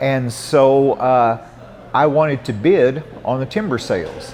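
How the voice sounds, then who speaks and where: A man with an American accent, amid noticeable background noise. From Southern Illinois. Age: 60s. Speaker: environmental activist and former coal miner. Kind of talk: interview. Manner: halting, many fillers and restarts.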